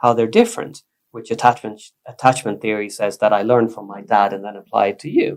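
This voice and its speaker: With a Swedish accent, a man talks at a medium pitch using fairly even intonation. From Sweden. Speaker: psychotherapist. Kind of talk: casual chat. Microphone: poor recording quality, quiet.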